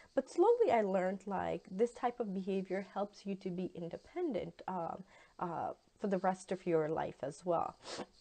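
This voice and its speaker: Over noticeable background noise, the speaker uses a Pakistani accent, ordinary pitch variation and a moderate pace. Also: woman, medium pitch for a woman. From Pakistan, Lahore. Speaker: university instructor, guest lecturer. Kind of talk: guest lecture. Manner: hesitant, many fillers.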